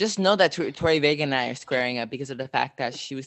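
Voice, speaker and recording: An animated man with an American accent, lively intonation, a fairly high pitch and a very fast pace. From Southern California. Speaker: podcast co-host. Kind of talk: casual chat.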